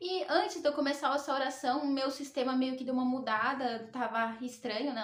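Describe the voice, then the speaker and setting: A high-pitched woman at a fairly quick pace, with audible room echo and noticeable background noise. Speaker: tarot reader and spiritual youtuber. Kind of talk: personal testimony vlog.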